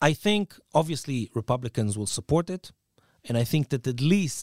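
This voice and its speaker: A man at a moderate pace with very wide pitch swings, dry, close sound with no echo, and a very clean recording with a silent background. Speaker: journalist. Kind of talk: interview.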